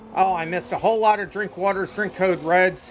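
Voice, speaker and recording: Against music in the background, a man speaks with a high pitch. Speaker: race event host and streamer. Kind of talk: live commentary. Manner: breathing heavily.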